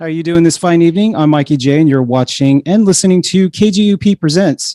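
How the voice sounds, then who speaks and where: A man talks very fast in a high voice with a dark, mellow tone and ordinary pitch variation, the sound dry and close with no echo. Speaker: podcast host. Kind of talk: podcast intro monologue. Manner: hesitant, many fillers; quiet.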